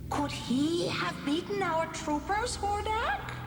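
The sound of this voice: Amid loud background noise and hissing, a woman in a cartoonish character voice speaks at a fairly slow pace with an extremely high pitch.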